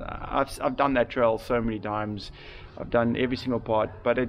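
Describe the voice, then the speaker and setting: A man's flat, monotone delivery at a moderate pace over light background noise. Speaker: mountain biker vlogger. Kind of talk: casual vlog chat. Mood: rueful, calm. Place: garden. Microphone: phone near.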